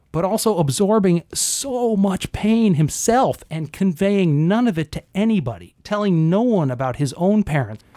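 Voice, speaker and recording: Lively in intonation, a man speaks in a high pitch with a dark, mellow tone. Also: hardly any pauses. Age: 50s. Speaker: comedian. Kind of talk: casual chat. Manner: soft-spoken; fast.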